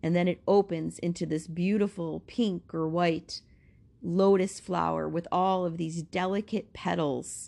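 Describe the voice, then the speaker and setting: A soothing female voice, fairly slow and monotone, flat in intonation, over a quiet background. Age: 50s. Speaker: Reiki healer and spiritual podcaster. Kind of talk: channeled guided visualization meditation, spoken slowly over distance Reiki healing. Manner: slow, soothing and hypnotic, with repeated phrases; softly emphatic, lingering on imagery.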